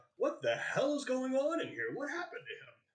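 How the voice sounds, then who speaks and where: A man's put-on character voice, extremely high in pitch, at a fairly quick pace. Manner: loud, demanding.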